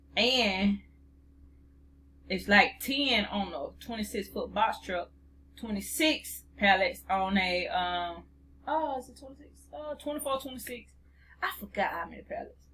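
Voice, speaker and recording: A woman speaks in a bright, sharp tone with vocal fry and lively intonation. Her loudness swings widely, broken by long, frequent pauses. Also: medium pitch for a woman, fairly slow pace. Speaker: freight dispatch trainer. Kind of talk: tutorial. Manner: halting.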